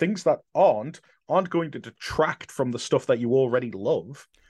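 Big swings in loudness, a moderate pace and an English accent, in a dry, close sound with no echo. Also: man. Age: 40s. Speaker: convention organiser. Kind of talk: casual chat.

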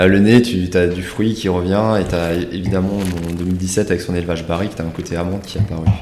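Noticeable background noise and audible room echo surround the voice. The pace is fairly quick, with monotone, flat intonation. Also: man, very deep, low pitch for a man. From Alsace. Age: 30s. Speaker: winemaker. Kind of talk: casual chat.

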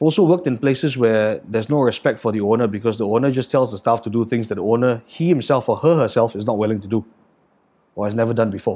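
Delivered at a very fast pace in a Singaporean accent, the voice has a dark, mellow tone and ordinary pitch variation. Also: man. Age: 30s. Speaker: chef and restaurant owner. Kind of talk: casual interview conversation. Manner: casual, hesitant, profane.

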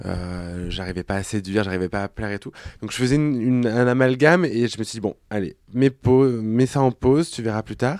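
In a normal speaking voice, a man talks at a fairly quick pace with a medium pitch and ordinary pitch variation. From France, Clermont-Ferrand. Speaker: drag queen and actor. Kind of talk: casual chat.

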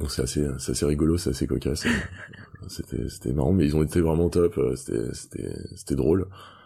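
A man speaks fairly quickly at a very deep, low pitch, his tone dark and mellow with vocal fry and ordinary pitch variation. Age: 30s. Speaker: sports retail buyer, cancer survivor and runner. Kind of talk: interview testimony. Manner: halting, many hesitations and repetitions.

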